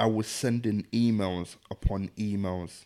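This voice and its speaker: A man speaks at a very slow pace with a dark, mellow tone and fairly low pitch. His pitch variation is ordinary, and the recording is very clean with a silent background. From southeast London, Deptford. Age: 20s. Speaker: radio DJ and broadcaster. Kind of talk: casual interview chat.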